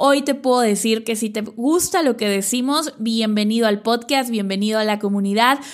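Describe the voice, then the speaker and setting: Her voice is a normal speaking voice, fairly high in pitch with ordinary pitch variation. The woman keeps a moderate pace with hardly any pauses. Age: 30s. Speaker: business coach podcaster. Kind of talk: solo podcast monologue.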